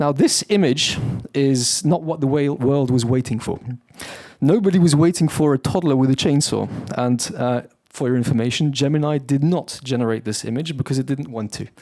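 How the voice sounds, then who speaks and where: A man with a British accent has a dark, mellow tone and a fairly high pitch. He keeps a moderate pace and ordinary pitch variation. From UK. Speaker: company founder and CEO. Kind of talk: conference keynote presentation. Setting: stage with audience.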